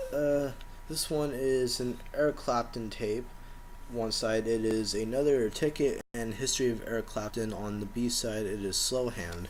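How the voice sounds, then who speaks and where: A soft-spoken man talks with ordinary pitch variation. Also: medium pitch for a man, moderate pace. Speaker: collector showing his collection. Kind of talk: casual show-and-tell video.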